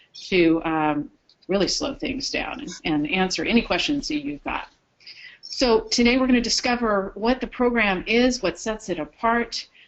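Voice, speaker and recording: At a moderate pace, a woman with vocal fry speaks at a fairly high pitch, with very wide pitch swings. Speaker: program trainer presenting to care facilities. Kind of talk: webinar presentation. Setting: webinar broadcast.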